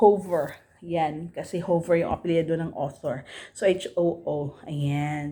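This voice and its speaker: A woman speaks fairly slowly in a Filipino accent, her pitch fairly low. Her tone is dark and mellow, and her intonation stays fairly even. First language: Tagalog. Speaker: book reviewer, vlogger. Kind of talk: casual vlog book review. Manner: halting, many repetitions and fillers.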